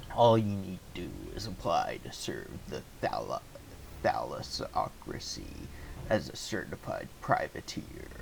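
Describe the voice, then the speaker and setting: A man uses a put-on character voice at a fairly slow pace. Background noise is clearly heard. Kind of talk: put-on pirate voice. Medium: game stream. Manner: folksy, conspiratorial.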